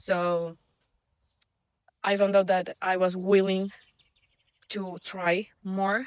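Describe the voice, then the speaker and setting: A woman with a non-native accent talks at a very slow pace with monotone, flat intonation. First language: not English. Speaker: vlogger, former engineer. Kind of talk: casual vlog monologue. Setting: outdoors walking the dog. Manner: hesitant, many fillers and restarts.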